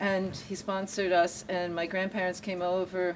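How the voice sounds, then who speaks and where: At a fairly slow pace, a woman with a fairly low pitch speaks in an unremarkable speaking voice. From born in Germany to refugee parents, raised in US from about age 7. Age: 60s. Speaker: local activist and tour guide. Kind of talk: casual conversation on a guided tour.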